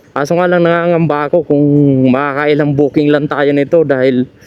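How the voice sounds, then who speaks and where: A man's fairly high voice, monotone and flat, amid noticeable background noise. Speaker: delivery rider vlogger. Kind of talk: casual vlog narration.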